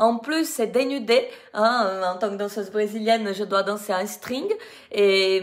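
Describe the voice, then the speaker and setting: Ordinary pitch variation marks a woman's fairly high voice as she talks at a very slow pace. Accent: Brazilian. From Brazil. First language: Portuguese (speaking French). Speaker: dance teacher. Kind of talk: live video testimony. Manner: halting.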